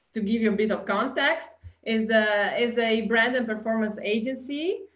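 A woman with an Italian accent speaks against a quiet background. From Italy. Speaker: customer experience consultant. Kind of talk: webinar presentation. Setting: video call. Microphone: webcam.

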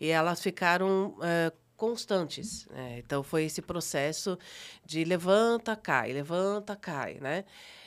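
Over a very clean recording with a silent background, a woman speaks at a very slow pace with a fairly low pitch and ordinary pitch variation. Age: 50s. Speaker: psychologist. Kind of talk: testimony. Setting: studio.

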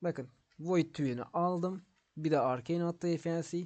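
A man with a high pitch speaks at a fairly slow pace. His intonation is fairly even. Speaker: gaming YouTuber. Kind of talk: gameplay tutorial. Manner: casual, rambling.

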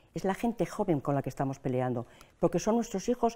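The voice belongs to a woman. It has a dark, mellow tone. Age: old. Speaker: pensioners' association president. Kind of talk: interview. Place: studio. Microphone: lapel.

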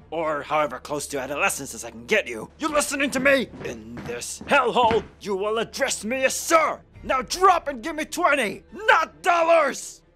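Someone shouts in a put-on character voice. Music plays in the background. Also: man, extremely high pitch for a man, moderate pace. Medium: voice reel. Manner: shouting, gruff.

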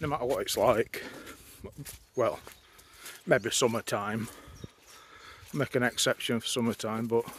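A man's medium-pitched voice at a fairly slow pace with a slightly husky edge.

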